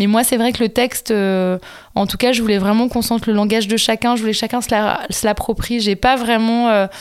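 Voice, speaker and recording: Her voice fairly high in pitch, a woman speaks at a moderate pace with monotone, flat intonation. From southern France, Montpellier. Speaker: film director. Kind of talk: interview. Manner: hesitant, many fillers.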